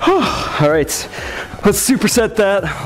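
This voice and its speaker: Faint music plays behind a man as he talks. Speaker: fitness trainer. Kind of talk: workout instruction with counting. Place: gym.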